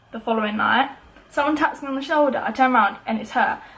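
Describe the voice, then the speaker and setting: Speaking at a very fast pace with ordinary pitch variation, a woman is heard over noticeable background noise. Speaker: YouTuber. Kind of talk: casual storytime vlog. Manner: animated.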